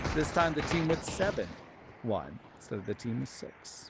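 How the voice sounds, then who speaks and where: A man's fairly high voice with music playing in the background. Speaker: live streamer and game announcer. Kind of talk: live sports-style play-by-play commentary.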